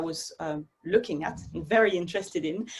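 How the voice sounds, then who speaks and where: A woman's voice in a French accent, moderately paced with ordinary pitch variation, amid noticeable background noise. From Belgium, Brussels area. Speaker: dance artist. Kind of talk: interview conversation.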